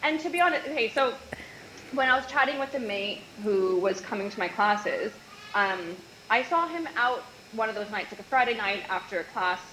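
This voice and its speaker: A fairly high-pitched woman with a Canadian accent, lively intonation, a fairly quick pace and long, frequent pauses, over noticeable background noise. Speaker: nutritionist, former yacht stewardess. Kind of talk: casual interview chat.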